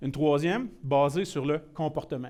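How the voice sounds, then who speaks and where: A man speaks in a fairly high voice with a dark, mellow tone. His pitch varies in an ordinary way. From Quebec, Shawinigan (Mauricie). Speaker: IT security presenter. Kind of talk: technical presentation. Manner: casual, mixes in many English words.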